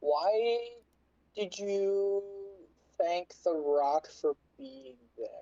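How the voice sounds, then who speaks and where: A put-on character voice at a middle pitch moves at a very slow pace with long, frequent pauses. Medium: actual play.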